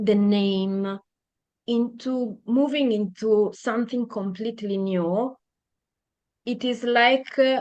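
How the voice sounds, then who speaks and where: Speaking very slowly in an Italian accent, a woman with a fairly high pitch keeps her intonation fairly even and leaves long, frequent pauses. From Italy. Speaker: podcast guest. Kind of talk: interview conversation. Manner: halting, many fillers.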